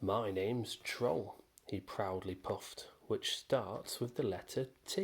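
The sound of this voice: The pitch varies in an ordinary manner throughout an unforced reading voice.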